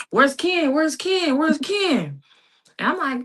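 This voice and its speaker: A woman speaks in a raised, projected voice. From Texas, Dallas. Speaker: women's football player. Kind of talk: interview.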